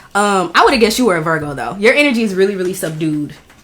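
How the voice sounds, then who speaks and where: Noticeable background noise sits behind a woman talking very fast. Her medium-pitched voice has lively intonation. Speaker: podcast host. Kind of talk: casual chat. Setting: in a house.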